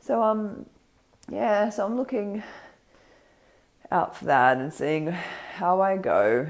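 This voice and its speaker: A woman with an Australian accent. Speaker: vlogger. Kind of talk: casual vlog. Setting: home kitchen. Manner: hesitant, many ums.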